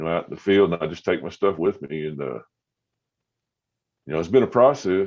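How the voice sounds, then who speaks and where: Against a quiet background, a man with a very deep, low voice and vocal fry talks at a fairly quick pace, broken by long, frequent pauses. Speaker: podcaster. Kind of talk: casual chat. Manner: halting, many fillers.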